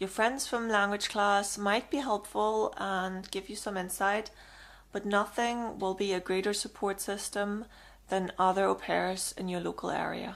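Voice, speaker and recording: A woman with a German accent and a medium pitch, fairly slow and monotone with flat intonation, in a very clean recording with a silent background. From Germany. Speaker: vlogger giving advice. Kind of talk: casual advice monologue.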